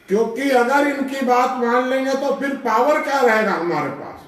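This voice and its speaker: A man is speaking. Room echo is audible. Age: 80s+. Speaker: social thinker and activist. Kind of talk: life-story talk to an audience.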